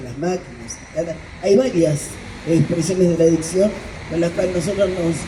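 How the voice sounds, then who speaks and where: Amid noticeable background noise and audible room echo, a woman speaks at a fairly low pitch and a moderate pace. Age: 60s. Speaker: addiction therapist speaking at political meeting. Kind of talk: public speech at community political meeting.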